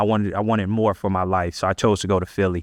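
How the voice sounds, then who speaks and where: Over a quiet background, a man with an American accent talks at a fairly quick pace with fairly even intonation. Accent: Central Florida accent, noticed by outsiders. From Central Florida (Ocala), US South. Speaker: leader and community organizer, former football player. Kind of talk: podcast interview, personal storytelling. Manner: casual, many fillers and repetitions.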